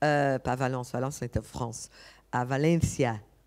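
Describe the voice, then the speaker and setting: This woman has a very deep, low pitch and a non-native accent, recorded very cleanly against a silent background. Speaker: architect and conference speaker. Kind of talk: conference talk. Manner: halting, many hesitations.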